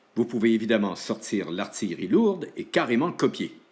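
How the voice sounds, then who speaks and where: Very wide pitch swings mark a man's medium-pitched voice as he talks at a fairly slow pace. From Quebec, Saguenay (Chicoutimi). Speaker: school show host / teacher. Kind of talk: scripted narration in sketch, then show outro.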